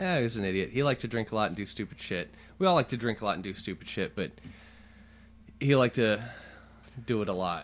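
Over a quiet background, a man with a fairly low pitch talks at a very fast pace. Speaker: podcast host. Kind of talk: casual chat. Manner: loud.

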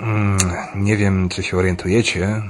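A man talks at a fairly quick clip over noticeable background noise. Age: 30s. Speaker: podcast host. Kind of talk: casual monologue. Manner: hesitant with filler sounds.

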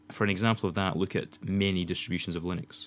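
In a very clean recording with a silent background, a man with a Scottish accent talks at a fairly low pitch and a fairly quick pace. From Scotland. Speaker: podcast host, student filmmaker. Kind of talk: casual chat. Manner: fast.

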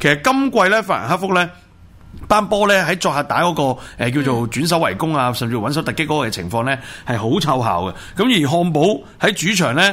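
A man speaks with a Hong Kong accent. His pitch swings very widely. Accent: Hong Kong Cantonese. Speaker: radio host, football talk. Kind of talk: casual chat about football and news.

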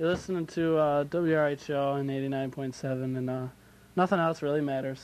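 A man with a fairly high pitch, fairly even intonation and a moderate pace. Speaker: college radio DJ. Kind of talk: casual radio show hosting. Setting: radio studio. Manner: self-described monotone.

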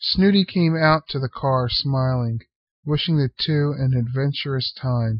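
The speaker reads aloud in a natural voice with ordinary pitch variation. The background is quiet.

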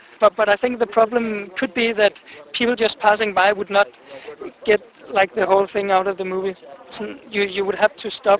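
This man speaks with a Danish accent at a high pitch and fairly even intonation. The sound is dry and close with no echo, though there is noticeable background noise. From Denmark. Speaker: exchange student. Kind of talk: street interview. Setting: outdoors.

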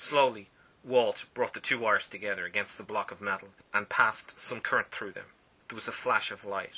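The clip consists of plain reading aloud.

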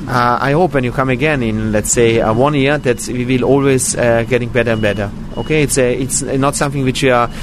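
A man talks at a fairly quick pace, with fairly even intonation and very even loudness. Noticeable background noise runs underneath. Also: medium pitch for a man. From Austria. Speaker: vegan restaurant owner. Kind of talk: interview. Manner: halting, many fillers.

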